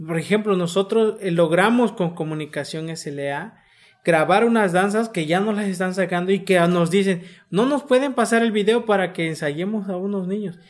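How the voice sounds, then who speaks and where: A moderate pace from a man with a high voice and ordinary pitch variation. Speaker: community media producer. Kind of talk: interview.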